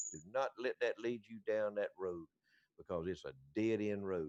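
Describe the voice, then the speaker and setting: A man with a Southern US accent, medium in pitch, at a moderate pace, in a dry, close sound with no echo. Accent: Southern US (Georgia). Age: 70s. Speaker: radio show co-host. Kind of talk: casual chat. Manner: halting, repeats words.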